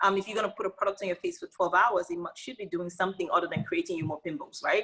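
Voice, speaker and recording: A woman speaks loudly at a very fast clip in an animated, bright and sharp voice, her medium pitch moving with ordinary variation. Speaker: beauty company founder and CEO. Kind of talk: casual interview chat.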